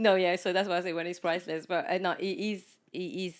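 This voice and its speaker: On a very clean recording with a silent background, a woman with a French accent talks at a fairly quick pace in a fairly low pitch. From France, of Mauritian parents. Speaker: podcast guest, former teacher, mother. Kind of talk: casual chat. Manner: animated.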